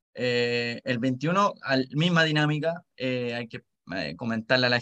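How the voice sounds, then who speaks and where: A man with a Chilean accent, in a dry, close sound with no echo. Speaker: podcast co-host, volunteer. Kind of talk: casual chat.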